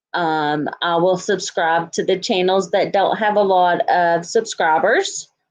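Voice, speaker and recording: With a Texan accent, a woman speaks at a fairly slow pace in a medium pitch, her intonation fairly even and hardly pausing, over a quiet background. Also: very even loudness. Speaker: YouTuber reacting to true crime coverage. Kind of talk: livestream sign-off chat. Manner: casual with many fillers.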